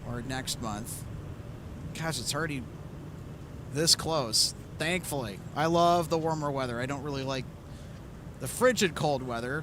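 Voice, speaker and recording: Using an Upper Midwest accent, a man with a fairly high pitch and ordinary pitch variation speaks at a moderate pace with long, frequent pauses and audible room echo. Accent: Upper Midwest (Minnesota). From Minnesota. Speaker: plane spotting live streamer. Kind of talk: live commentary. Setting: outdoors at airport viewing area.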